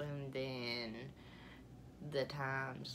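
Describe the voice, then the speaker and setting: Noticeable noise runs in the background. Over it, a woman talks in a very deep, low pitch. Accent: Alabama. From Alabama. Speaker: vlogger. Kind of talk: casual vlog monologue. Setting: home, sitting on bed. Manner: rambling, lots of fillers. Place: home room. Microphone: phone near.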